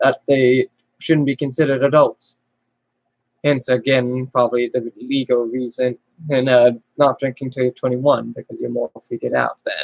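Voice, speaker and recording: With an American accent, a man speaks at a moderate pace in a dry, close sound with no echo. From US. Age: 20s. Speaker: youtuber. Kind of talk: personal monologue livestream. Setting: webcam livestream at home. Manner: halting, rambling.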